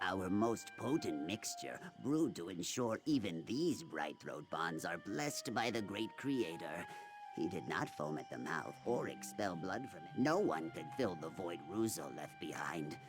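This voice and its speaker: A man does a put-on character voice at a fairly low pitch and a moderate pace. Clear music plays in the background. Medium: video game. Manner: grave, solemn.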